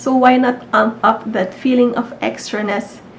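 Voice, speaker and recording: A woman speaks at a fairly slow pace with fairly high pitch and fairly even intonation. Noticeable background noise runs underneath. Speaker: beauty YouTuber. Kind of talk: casual talk to camera.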